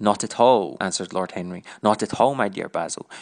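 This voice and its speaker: This man has a Scottish accent and a fairly low pitch. He talks at a fairly quick pace with ordinary pitch variation. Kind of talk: audiobook reading.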